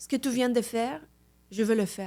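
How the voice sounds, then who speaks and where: In a very clean recording with a silent background, a woman with a Mexican accent speaks with ordinary pitch variation. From Mexico City, Mexico. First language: Spanish (speaking French). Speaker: Reiki master. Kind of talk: podcast interview.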